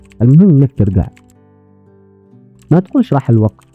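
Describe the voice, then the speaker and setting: A man speaks with lively intonation in a dry, close sound with no echo, music playing behind him. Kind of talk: motivational talk.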